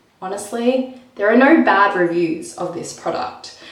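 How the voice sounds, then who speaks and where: A woman speaks at a fairly slow pace with lively intonation, against noticeable background noise and audible room echo. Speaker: lifestyle vlogger. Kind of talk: casual vlog talking to camera.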